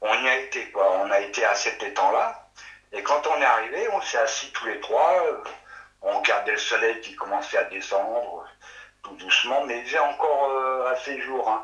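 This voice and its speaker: Noticeable background noise and audible room echo surround the voice. A man speaks at a moderate pace. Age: 60s. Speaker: witness recounting sighting. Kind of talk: testimony. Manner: halting.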